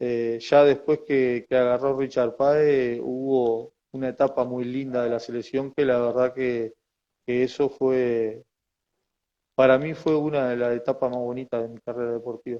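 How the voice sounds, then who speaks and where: Speaking in a Uruguayan accent, a man keeps his intonation monotone and flat. His pace is fairly slow. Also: medium pitch for a man. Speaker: former footballer. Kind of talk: interview. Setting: video call. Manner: halting.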